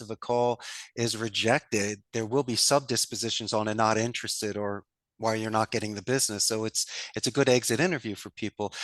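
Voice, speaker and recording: A man with a Philadelphia accent, medium in pitch and fairly quick, in a dry, close recording with no echo and a quiet background. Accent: Philadelphia American. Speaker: call center business owner. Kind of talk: podcast interview. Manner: animated.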